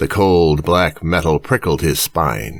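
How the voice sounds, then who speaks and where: Vocal fry marks a man's very deep, low pitch as he speaks with lively intonation at a fairly slow pace. The recording is very clean, with a silent background. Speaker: audiobook narrator. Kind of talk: audiobook fiction reading.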